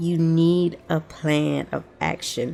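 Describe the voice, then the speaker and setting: A woman's fairly low voice with music in the background. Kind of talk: casual movie rant to camera. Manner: animated, ranting.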